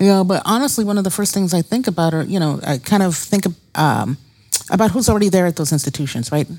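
A woman talks at a very fast pace in a medium pitch. Her tone is dark and mellow, with lively intonation. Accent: American. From Brooklyn, New York. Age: 50s. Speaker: psychologist and medical school researcher. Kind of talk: interview.

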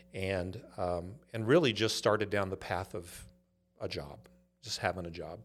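A man with a Californian accent, very deep and low in pitch, at a moderate pace with long, frequent pauses and ordinary pitch variation, in a very clean recording with a silent background. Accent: Californian American. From US West Coast, Los Angeles (Inglewood). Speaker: startup CEO. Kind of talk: interview.

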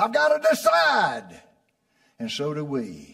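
In an animated, warm tone, a man talks with very wide pitch swings. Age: 80s. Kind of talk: sermon. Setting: church. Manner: animated, warm, homely, with call-and-response; prompting the congregation, laughs often.

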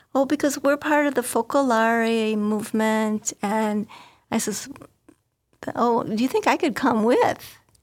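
An unremarkable speaking voice belongs to a woman with an American accent, who talks at a fairly slow pace with a fairly high pitch and ordinary pitch variation. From northwest Indiana, US Midwest. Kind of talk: interview storytelling.

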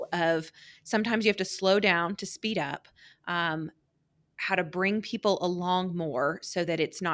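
A woman with an American accent and a normal speaking voice, at a medium pitch and a fairly slow pace, with fairly even intonation, on a very clean recording with a silent background. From Oklahoma City suburb. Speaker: agency president. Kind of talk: interview. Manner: frequent fillers (um).

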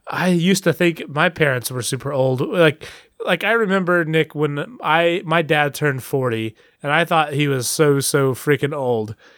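Recorded with a dry, close sound and no echo, a man uses a normal speaking voice with fairly high pitch, ordinary pitch variation and a moderate pace. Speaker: podcast co-host. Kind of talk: casual chat. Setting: remote call, far apart.

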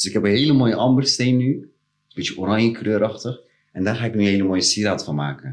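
Very fast delivery with ordinary pitch variation. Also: man, fairly low pitch for a man. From Rotterdam Delfshaven. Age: 30s. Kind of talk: casual chat.

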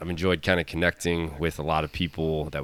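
Very deep and low, a man's voice moves at a fairly quick pace on a very clean recording with a silent background. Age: 30s. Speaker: fitness coach and podcast host. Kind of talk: casual chat.

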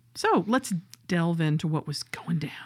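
In a very clean recording with a silent background, a woman with a Southern US accent speaks at a moderate pace with lively intonation. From US South. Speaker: podcast co-host. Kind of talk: casual chat.

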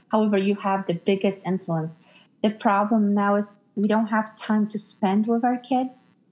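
At a moderate pace, a woman with an ordinary speaking voice talks in a medium pitch with fairly even intonation. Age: 40s. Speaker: psychic medium and life coach. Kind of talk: casual chat; sales pitch.

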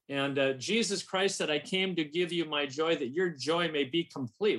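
The speaker is a man with an American accent and a fairly high pitch. His tone is bright and sharp, with ordinary pitch variation. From US Midwest, St. Paul, Minnesota. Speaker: publishing marketing and sales director. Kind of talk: radio interview.

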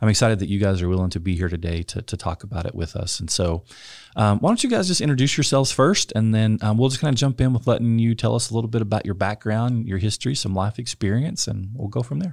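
This man talks with a West Texas accent. His pace is very fast. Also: fairly low pitch for a man, lively intonation. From rural West Texas. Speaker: podcast host, church pastor. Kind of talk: casual chat.

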